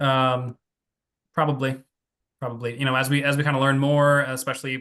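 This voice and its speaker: In an American accent, a man speaks at a medium pitch with a bright, sharp tone. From New Jersey, US. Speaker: psychiatry researcher. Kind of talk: Q&A after a lecture. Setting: Zoom video call. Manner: fast; halting, many fillers and repeats.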